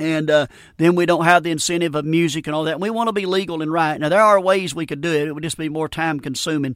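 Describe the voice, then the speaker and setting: In a Southern US accent, a man with a fairly high pitch speaks at a very fast pace with fairly even intonation, on a very clean recording with a silent background. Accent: US South. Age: 50s. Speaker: radio preacher. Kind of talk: sermon. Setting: studio.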